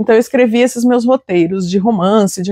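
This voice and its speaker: Woman with a fairly high pitch and fairly even intonation, an unremarkable speaking voice, dry and close with no echo. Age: 40s. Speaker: writer and literature teacher. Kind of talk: interview testimony.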